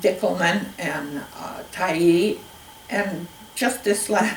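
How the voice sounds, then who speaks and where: A woman's fairly low voice with a Pacific Northwest accent, audible room echo and noticeable background noise. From Spokane Valley, Washington. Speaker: oral history interviewee. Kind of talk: oral history interview. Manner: halting.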